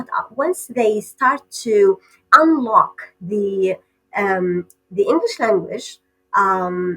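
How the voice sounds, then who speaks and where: A woman with an Arabic accent and a fairly high pitch. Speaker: PhD candidate researcher. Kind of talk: podcast interview. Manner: hesitant with many fillers.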